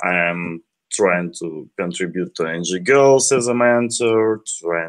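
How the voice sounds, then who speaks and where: Heard on a very clean recording with a silent background, a man with a Ukrainian accent speaks at a fairly slow pace using lively intonation. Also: dry, close sound with no echo. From Ukraine. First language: Ukrainian or Russian. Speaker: software developer. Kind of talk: tech talk.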